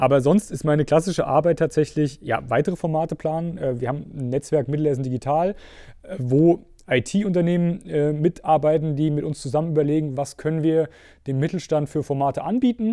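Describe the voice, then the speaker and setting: Against a silent background in a very clean recording, a dark, mellow voice moves at a fairly quick pace with ordinary pitch variation. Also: man, fairly high pitch for a man. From Mittelhessen, Germany. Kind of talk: podcast interview. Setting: studio.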